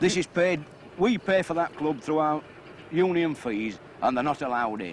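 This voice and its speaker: A man with a Yorkshire accent speaks at a moderate pace in a fairly high voice, his intonation lively. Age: 30s. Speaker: dye house worker. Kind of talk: interview.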